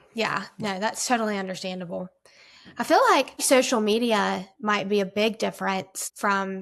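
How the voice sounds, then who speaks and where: With an unremarkable speaking voice, a woman talks at a moderate pace in a medium pitch with fairly even intonation. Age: 20s. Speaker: college student interviewer. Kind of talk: interview conversation.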